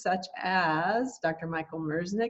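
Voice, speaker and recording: A woman with a plain, everyday voice, a fairly low pitch and a fairly slow pace. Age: 60s. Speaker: summit interviewer. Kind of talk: interview.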